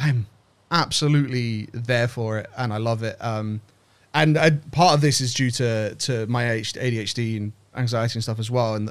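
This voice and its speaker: A man at a moderate pace and medium pitch, with fairly even intonation. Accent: British. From Britain. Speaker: game art director. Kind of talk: interview. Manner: halting, many fillers and repeats.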